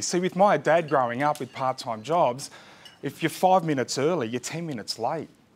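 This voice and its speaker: With an Australian accent, a man speaks at a moderate pace in a fairly high pitch with lively intonation, against noticeable background noise. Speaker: business coach. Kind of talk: workshop presentation. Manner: loud.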